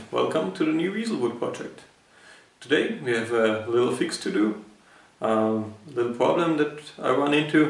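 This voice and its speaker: A man with a non-native accent and medium pitch, at a moderate pace, over noticeable background noise. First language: not English. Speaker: woodworker. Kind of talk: DIY tutorial talk.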